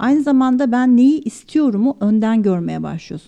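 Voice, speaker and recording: A woman speaks at a moderate pace with lively intonation and a dark, mellow tone against a quiet background. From Turkey, Çanakkale. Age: 40s. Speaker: architect, design manager. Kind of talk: interview. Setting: studio.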